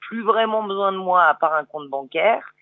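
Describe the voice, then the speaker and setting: Here a woman is speaking. She goes at a fairly slow pace. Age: 50s. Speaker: motorcycle traveller. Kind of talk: radio interview. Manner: hesitant, many fillers.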